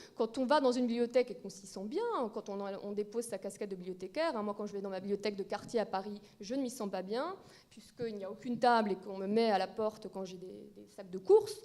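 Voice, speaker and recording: A very fast pace, fairly even intonation and big swings in loudness. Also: woman, medium pitch for a woman. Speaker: librarian, round-table speaker. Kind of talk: conference talk.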